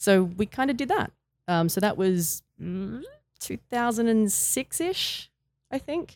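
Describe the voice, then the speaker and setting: In an Australian accent, a woman speaks at a very slow pace and a fairly high pitch with lively intonation, the sound dry and close with no echo. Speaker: retired wrestler. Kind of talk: interview.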